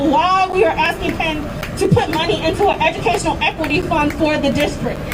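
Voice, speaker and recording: A woman speaks with an American accent over background crowd noise, her voice carrying an audible room echo. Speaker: educator and student speaking at a rally. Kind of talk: rally speech. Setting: outdoors at a protest march. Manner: impassioned.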